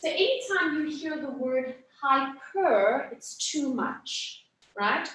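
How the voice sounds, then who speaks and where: Lively intonation in a woman's high voice. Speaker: anatomy workshop instructor. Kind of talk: lecture. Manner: conversational, checking in with students.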